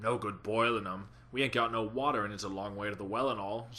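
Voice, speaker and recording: A man puts on a character voice. He speaks at a very fast pace. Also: fairly low pitch for a man. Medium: read story. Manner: gruff, quarrelsome.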